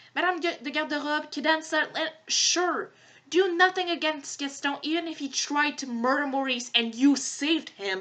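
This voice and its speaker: The voice is raised and projected, at a moderate pace. Its pitch variation is ordinary. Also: woman, high pitch for a woman. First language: French. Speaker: podcast host. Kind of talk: casual commentary monologue. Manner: animated; hesitant fillers.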